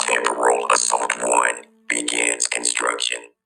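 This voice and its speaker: Putting on a character voice, a man speaks at a very deep, low pitch and a fairly slow pace in a monotone, flat intonation. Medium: read story. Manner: terse, clipped.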